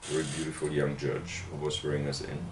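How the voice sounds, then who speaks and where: At a moderate pace, a man talks with a German accent, and audible room echo surrounds his voice. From Germany, Bavaria (Würzburg). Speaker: literary critic and professor. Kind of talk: interview. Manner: hesitant, many fillers.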